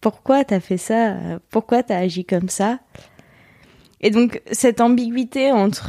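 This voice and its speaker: The sound is dry and close with no echo as a woman speaks at a very slow pace with long, frequent pauses. Her fairly high pitch has ordinary variation and a dark, mellow tone. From France, Lorraine (Bouzonville). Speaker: psychology student. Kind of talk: personal testimony interview. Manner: halting, many hesitations.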